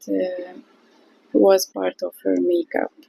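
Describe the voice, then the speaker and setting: A woman with a non-native accent, speaking at a very slow pace. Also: dry, close sound with no echo. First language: not English. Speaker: watercolour artist. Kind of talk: tutorial. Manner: halting.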